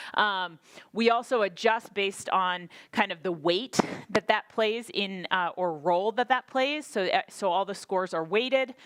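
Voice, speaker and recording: This woman's tone is animated and energetic. Her pitch is medium, with ordinary variation. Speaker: state drought planning official. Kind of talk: conference presentation. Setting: workshop with audience. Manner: fast; animated, energetic.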